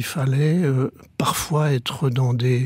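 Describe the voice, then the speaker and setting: A man talks at a very slow pace in a fairly high pitch with ordinary pitch variation. The sound is dry and close, with no echo. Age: 70s. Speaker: former priest turned coach. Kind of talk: radio interview.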